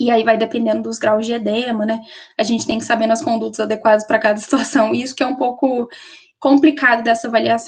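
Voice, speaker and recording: Fairly high in pitch, a woman talks at a fairly quick pace with fairly even intonation. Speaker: nursing student presenter. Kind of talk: lecture. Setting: webinar. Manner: fast.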